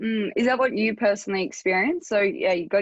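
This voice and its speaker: A woman with an Australian accent at a fairly quick pace over a quiet background. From small country town. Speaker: health coach podcast host. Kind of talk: podcast interview.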